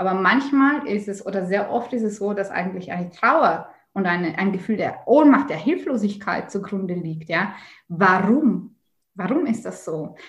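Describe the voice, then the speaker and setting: With audible room echo, a woman speaks at a moderate pace. Her voice is somewhat breathy, with lively intonation. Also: medium pitch for a woman. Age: 30s. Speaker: spiritual teacher and author. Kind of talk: interview.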